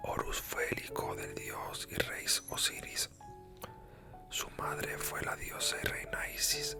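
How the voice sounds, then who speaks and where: Over music in the background, a man is whispering. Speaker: ASMR creator. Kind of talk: whispered reading for sleep. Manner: whispered, soft, slow.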